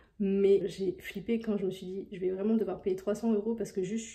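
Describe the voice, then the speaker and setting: A woman's somewhat breathy voice in monotone, flat intonation. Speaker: vlogger. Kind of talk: casual vlog chat. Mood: amused, self-mocking. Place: home room. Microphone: phone near.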